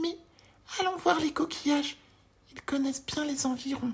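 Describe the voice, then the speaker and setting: A put-on character voice, high in pitch, at a moderate pace. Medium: read story.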